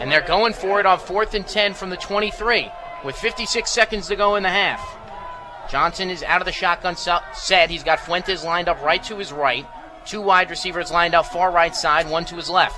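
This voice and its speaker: A man's raised, projected voice, high in pitch and energetic in tone, at a fairly quick pace with ordinary pitch variation over crowd noise in the background. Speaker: radio football play-by-play announcer. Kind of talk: live sports play-by-play commentary. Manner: fast, energetic.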